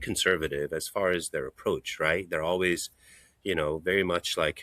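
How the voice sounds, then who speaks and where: In a dry, close sound with no echo, a man delivers his words at a fairly quick pace. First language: not English. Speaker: hand surgeon. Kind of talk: interview conversation.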